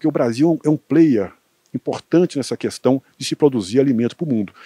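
A man speaks at a very fast pace in a medium-pitched voice with a dark, mellow tone and lively intonation. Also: dry, close sound with no echo. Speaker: agricultural researcher. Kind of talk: interview.

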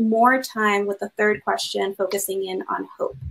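Fairly slow delivery from a woman.

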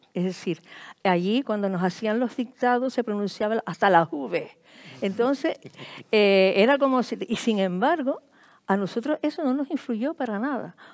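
Her fairly high pitch and lively intonation mark this woman's unremarkable speaking voice, delivered at a fairly slow pace. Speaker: writer. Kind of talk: panel discussion. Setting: stage with audience.

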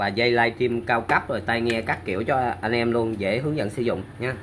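Over faint background noise, a man talks at a fairly quick pace in a fairly bright tone with ordinary pitch variation. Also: medium pitch for a man.

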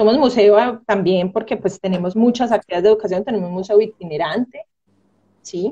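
A woman's somewhat breathy voice at a fairly quick pace, with ordinary pitch variation and a quiet background. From Colombia, Medellín (Antioquia); Antioquia, Colombia. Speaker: marine biologist and museum curator; guest. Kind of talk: casual interview. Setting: video call. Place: home room.

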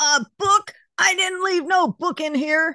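A croaky put-on character voice, extremely high in pitch, at a fairly slow pace. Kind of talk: rough, ungrammatical speech.

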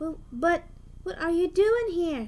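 In a put-on character voice, a woman speaks slowly at an extremely high pitch, with lively intonation and a slightly mellow tone.

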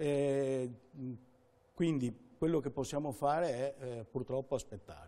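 This man speaks at a fairly slow pace in a fairly high pitch, with ordinary pitch variation and a dark, mellow tone. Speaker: consumer association president. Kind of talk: informative interview. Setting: studio. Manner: halting, repeats words. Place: studio.

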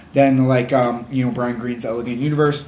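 This man's speech carries audible room echo. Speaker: book reviewer. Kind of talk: casual vlog chat. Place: home room. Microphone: webcam.

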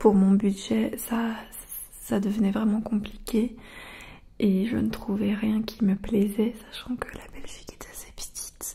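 Soft-spoken and flat in intonation, a woman talks at a very slow pace. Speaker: ASMR creator. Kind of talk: casual soft-spoken Q&A chat. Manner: soft close-mic ASMR voice. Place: home room. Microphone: studio mic.

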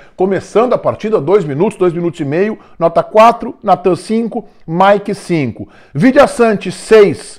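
Against a quiet background, a man with a southern Brazilian accent speaks fairly slowly at a high pitch, his intonation lively. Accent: gaúcho Brazilian Portuguese. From southern Brazil (Rio Grande do Sul). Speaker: football commentator. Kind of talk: sports commentary monologue. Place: home room. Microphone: lapel.

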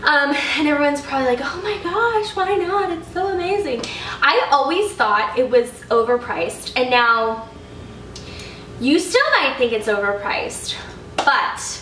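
A woman's high voice comes at a fairly slow pace, with audible room echo and light background noise. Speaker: lifestyle vlogger. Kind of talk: casual haul vlog chat. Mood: upbeat, enthusiastic. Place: home room.

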